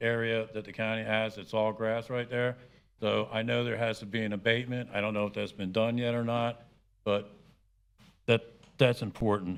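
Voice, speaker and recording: Speaking in a monotone, flat intonation, a man keeps a medium pitch and a moderate pace. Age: 70s. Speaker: resident speaking at public hearing. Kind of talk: public comment at a meeting.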